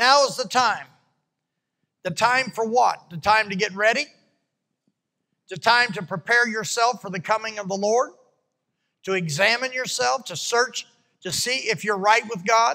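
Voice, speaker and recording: A raised, projected voice with a bright, sharp tone, ordinary pitch variation, moderate pace and long, frequent pauses, over a quiet background. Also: man. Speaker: preacher. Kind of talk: sermon. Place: church. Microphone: handheld.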